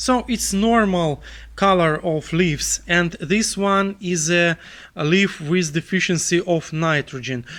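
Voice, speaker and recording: The man's voice is high-pitched with a bright, sharp tone. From Belarus. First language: Russian. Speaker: gardening educator. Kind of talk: tutorial. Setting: greenhouse. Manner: halting, many fillers.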